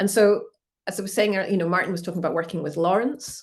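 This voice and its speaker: This woman has a Scottish accent and ordinary pitch variation. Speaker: museum curator. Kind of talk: online art talk presentation.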